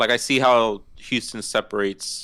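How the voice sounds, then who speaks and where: In a very clean recording with a silent background, a man with an American accent speaks at a medium pitch with a bright, sharp tone. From Miami, Florida. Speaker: guest. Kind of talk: casual chat.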